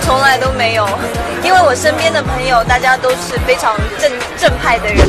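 Over loud background music, a woman talks at a moderate pace with long, frequent pauses. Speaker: celebrity at media interview. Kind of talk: interview answer. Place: hall.

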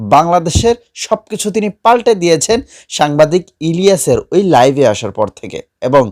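Heard in a dry, close sound with no echo, a man with a high pitch makes very wide pitch swings. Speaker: news channel presenter. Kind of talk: news commentary.

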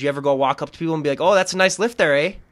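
A man with an Upper Midwestern accent. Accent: upper Midwestern, slightly Canadian-sounding. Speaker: podcast host. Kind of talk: casual interview.

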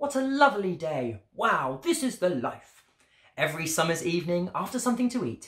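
The recording carries an unforced reading voice.

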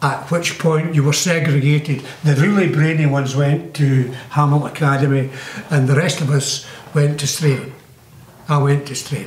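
A man with a Scottish accent speaks at a moderate pace in a flat monotone with very even loudness, with audible room echo and light background noise. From Glassford, South Lanarkshire, Scotland. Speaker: local resident recalling the past. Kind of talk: interview answer. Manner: hesitant, rambling. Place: home room.

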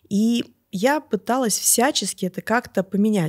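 A woman at a fairly high pitch and moderate pace, her lively intonation heard in a dry, close sound with no echo. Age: 40s. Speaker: natural rejuvenation coach. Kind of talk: interview. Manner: animated.

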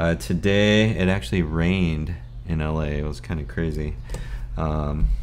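A man speaks at a fairly slow pace with a very deep, low pitch and ordinary pitch variation. Light background noise is present. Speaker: vlogger. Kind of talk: casual vlog chat. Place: home room.

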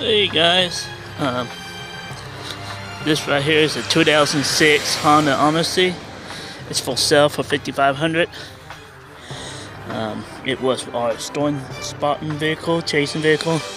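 With clear music in the background and a dry sound with no echo, a man speaks in fairly even intonation, leaving long, frequent pauses. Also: fairly slow pace. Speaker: vehicle seller. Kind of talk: casual sales walkaround. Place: street. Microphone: phone near.

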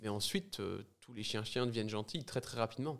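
Against a quiet background, a man talks. His pitch is medium. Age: 20s. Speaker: podcast guest. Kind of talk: casual chat. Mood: light, joking tone. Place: studio. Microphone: studio mic.

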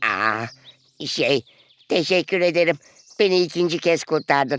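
Putting on a cartoonish character voice, a man speaks at a fairly high pitch and a fairly slow pace. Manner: hesitant, stammering.

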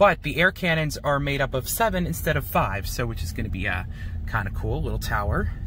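A man's voice with very wide pitch swings, dry with no echo, and light background noise. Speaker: car wash vlogger. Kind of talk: casual vlog commentary. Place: car.

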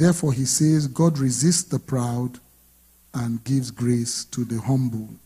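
Against a quiet background, a man with a medium pitch and a dark, mellow, somewhat breathy tone speaks at a fairly slow pace with ordinary pitch variation. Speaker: pastor. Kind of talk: sermon. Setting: church. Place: church. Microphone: handheld.

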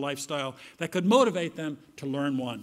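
A man with an American accent and lively intonation against a quiet background. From United States. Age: old. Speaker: conference keynote speaker. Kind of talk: lecture. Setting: stage with audience. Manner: formal. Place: hall. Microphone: podium.

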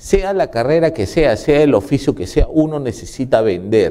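His dark, mellow tone moves through very wide pitch swings as the man speaks. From Peru. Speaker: TV host. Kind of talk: TV interview. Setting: studio. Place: studio.

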